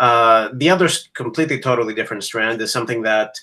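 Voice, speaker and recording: Speaking with a Greek accent at a very fast pace, a man has a bright, sharp tone. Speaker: academic educator. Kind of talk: casual chat.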